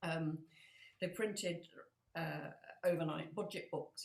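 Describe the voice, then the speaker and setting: A woman in a northern English accent, fairly low-pitched and somewhat breathy, her intonation fairly even, at a moderate pace. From northern England. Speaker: floral artist and podcast co-host. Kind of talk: casual chat. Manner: hesitant, many fillers.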